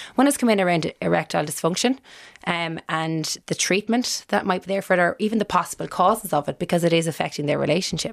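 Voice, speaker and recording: Someone speaks with a Cork accent at a very fast pace. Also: woman, fairly low pitch for a woman, ordinary pitch variation. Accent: Irish, Cork. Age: 30s. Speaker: radio host. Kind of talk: radio show hosting.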